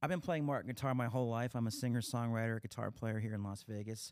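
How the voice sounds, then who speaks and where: A man talks very fast at a medium pitch with an American accent. His pitch varies in an ordinary way. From Pennsylvania. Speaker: podcast host, talent agent and guitarist. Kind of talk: casual interview chat. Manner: halting, many fillers.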